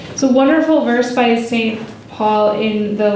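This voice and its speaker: Noticeable background noise and audible room echo fill the recording. Through it, a woman's pitch varies an ordinary amount. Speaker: speaker at a church retreat. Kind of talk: talk to a live audience. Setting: hall with live audience, handheld mic.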